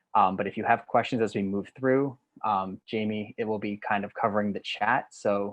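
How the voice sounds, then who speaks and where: With an American accent, a man speaks at a fairly low pitch in a monotone, flat intonation against a quiet background. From US Northeast. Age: 20s. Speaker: digital organizer and trainer; trainer. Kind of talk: online training presentation. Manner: fast. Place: home room. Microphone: webcam.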